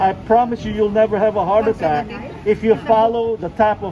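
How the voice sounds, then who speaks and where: There is noticeable background noise behind this recording. A man speaks at a moderate pace with a high pitch. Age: 60s. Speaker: travel vlogger. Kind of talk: casual chat.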